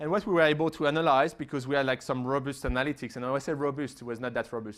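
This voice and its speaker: In a French accent, a man speaks with ordinary pitch variation. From France. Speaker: digital marketing expert. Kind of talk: conference Q&A. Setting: conference stage with audience. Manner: fast, with many fillers and restarts.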